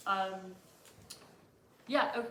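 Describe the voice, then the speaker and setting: Room echo is audible along with noticeable background noise. A woman speaks with fairly even intonation. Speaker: student activist. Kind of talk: conference talk. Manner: fast.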